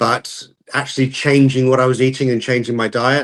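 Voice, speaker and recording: In a British accent, a man speaks at a moderate pace against a quiet background. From UK. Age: 60s. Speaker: calisthenics YouTuber. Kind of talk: podcast interview.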